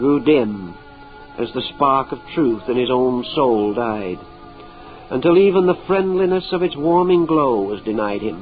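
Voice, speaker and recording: With music in the background, the man talks at a medium pitch and uses lively intonation. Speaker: lecturer. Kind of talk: mystical story reading.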